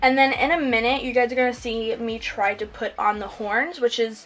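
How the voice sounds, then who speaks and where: A woman with a high pitch talks while noticeable background noise is present. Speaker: makeup YouTuber. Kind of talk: voiceover tutorial. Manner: fast; casual, hesitant with fillers.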